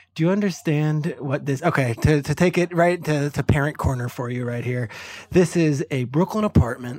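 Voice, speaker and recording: The speaker has an unremarkable speaking voice, with ordinary pitch variation at a moderate pace. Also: man. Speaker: NFL analyst. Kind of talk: casual sports discussion.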